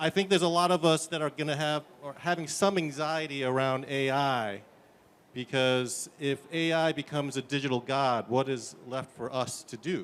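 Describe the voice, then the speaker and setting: A man with a New York accent talks at a moderate pace in a fairly high voice with ordinary pitch variation. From US, New York. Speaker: tech startup founder. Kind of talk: conference demo presentation. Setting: conference stage.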